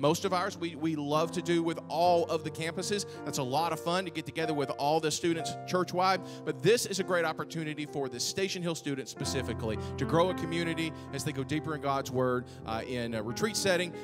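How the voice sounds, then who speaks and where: Clear music plays behind a man talking at a fairly quick pace. He leaves hardly any pauses. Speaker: church minister. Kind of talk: church announcements. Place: church. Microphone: handheld.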